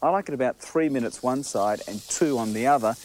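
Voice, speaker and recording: With an Australian accent, this man talks at a medium pitch in an upbeat, enthusiastic tone. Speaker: TV chef. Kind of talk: promotional cooking demonstration.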